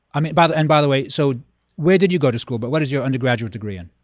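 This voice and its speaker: A man speaks at a fairly high pitch. His intonation is lively. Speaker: health radio host. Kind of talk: interview. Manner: fast talker.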